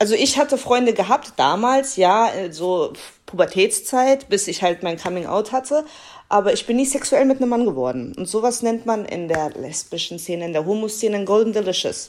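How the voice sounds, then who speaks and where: In an ordinary speaking voice, a woman talks at a moderate pace with a fairly high pitch and lively intonation, on a very clean recording with a silent background. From Germany, Kassel. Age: 20s. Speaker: podcast guest. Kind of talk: casual chat.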